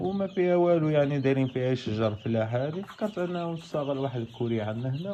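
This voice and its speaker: A man talks at a fairly quick pace with lively intonation amid noticeable background noise. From Morocco, Tangier. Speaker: novice poultry farmer and forklift driver. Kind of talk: casual video vlog.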